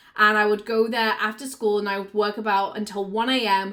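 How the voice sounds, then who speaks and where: A woman with a Yorkshire accent speaks at a fairly quick pace in a fairly high pitch with monotone, flat intonation. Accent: northern English (Yorkshire). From Yorkshire, northern England. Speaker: business coach and content creator. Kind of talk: personal storytelling vlog.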